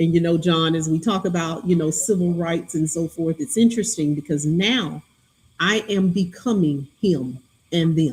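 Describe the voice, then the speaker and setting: A somewhat breathy woman's voice in a Southern US accent, fairly low in pitch, with ordinary pitch variation. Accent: polished Southern drawl. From US South, Alabama (Greenville, Butler County). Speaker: county chief executive. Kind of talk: podcast interview.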